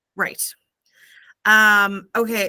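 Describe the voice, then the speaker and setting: A woman of medium pitch speaks with a Canadian accent in a bright, sharp tone, on a very clean recording with a silent background. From Canada. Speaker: book club host. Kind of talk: interview.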